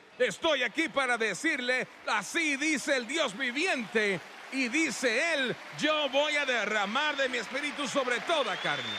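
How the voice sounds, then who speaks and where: Over crowd noise in the background, a man calls out in a raised, projected voice at an extremely high pitch with lively intonation. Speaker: preacher. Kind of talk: sermon, preacher in full flow, TV evangelism. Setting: church with live congregation and TV broadcast. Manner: fiery, emphatic, pounding rhetorical repetition; confrontational, urgent, calling for response.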